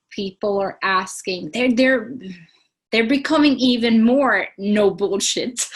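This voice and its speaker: Very slow, somewhat breathy speech from a woman with a fairly high pitch and ordinary pitch variation. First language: Swedish. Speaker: sustainability non-profit leader. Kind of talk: interview. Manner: animated.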